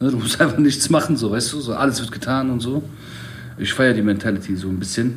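A man at a medium pitch, talking at a fairly quick pace, with audible room echo. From Middle Eastern background, raised in Germany. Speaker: podcast host. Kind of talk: casual chat.

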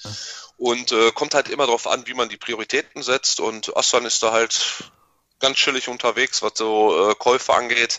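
Flat and monotone, a man talks at a medium pitch and a moderate pace. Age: 30s. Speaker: YouTuber and toy collector. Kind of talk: casual chat.

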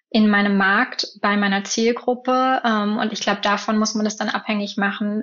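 Speaking at a fairly slow pace, a woman keeps a fairly high pitch with monotone, flat intonation. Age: 20s. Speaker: field marketer. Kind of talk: interview.

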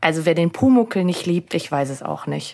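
At a moderate pace, a woman talks in a fairly low pitch with an unremarkable speaking voice. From Austria, Salzburg. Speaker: podcast co-host. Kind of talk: casual chat; scripted narration.

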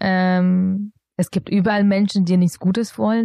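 A woman with a non-native accent talks at a moderate pace in a dark, mellow tone. The sound is dry and close, with no echo. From Bavaria, Augsburg. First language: not German (speaking German). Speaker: founder of a social enterprise. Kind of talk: interview. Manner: hesitant with many fillers.

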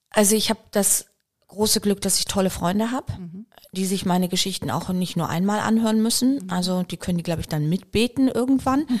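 A woman talks at a fairly quick pace in a medium pitch. Her voice is somewhat breathy. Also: ordinary pitch variation. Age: 50s. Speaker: biochemist and company founder. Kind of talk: casual interview.

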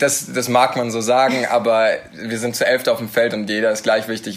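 Talking at a fairly quick pace, a man uses a medium pitch with ordinary variation, an unremarkable speaking voice. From Nuremberg, Franconia (Bavaria). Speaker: American football quarterback. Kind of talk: casual interview. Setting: studio.

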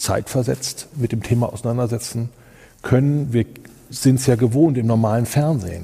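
A man speaks at a medium pitch with a dark, mellow tone. His voice is somewhat breathy, and his pace fairly slow. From Germany, Kassel (northern Hesse). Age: 50s. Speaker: event technology company owner. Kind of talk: interview.

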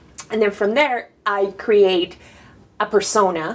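A woman with a Spanish accent, fairly even intonation, and noticeable background noise. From Panama. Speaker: designer and artist. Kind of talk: interview. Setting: artist residency studio.

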